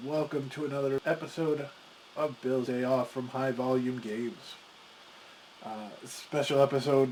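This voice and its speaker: Noticeable background noise sits behind a man speaking at a moderate pace. His medium-pitched voice stays monotone and flat. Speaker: board game video host. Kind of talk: casual talk to camera.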